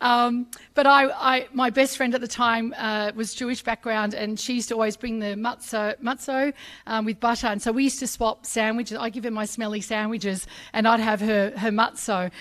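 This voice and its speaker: With an Australian accent, a high-pitched woman speaks at a fairly quick pace in an animated tone. The recording is very clean, with a silent background. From Sydney, Australia. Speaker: journalist, ambassador. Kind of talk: speech at a public ceremony. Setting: stage with audience in a pavilion, live streamed. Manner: animated, with many fillers.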